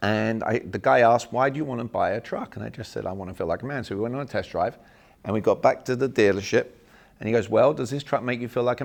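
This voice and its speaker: In an English accent, a man speaks at a very fast pace with a medium pitch, ordinary pitch variation and an animated tone. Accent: English accent, kept on purpose. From England. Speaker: sales and communication trainer. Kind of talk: seminar talk. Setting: small room seminar with audience.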